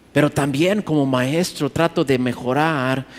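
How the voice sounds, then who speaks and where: Very slowly, a man talks in a medium pitch. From USA, Mexican parents. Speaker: pastor. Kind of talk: sermon. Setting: conference stage with audience. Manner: halting.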